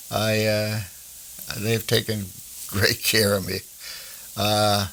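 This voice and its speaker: A man with a fairly low pitch and an American accent speaks very slowly in a flat, monotone delivery. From New Jersey. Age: 90s. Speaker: war veteran. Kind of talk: oral history interview. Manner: halting, with many fillers.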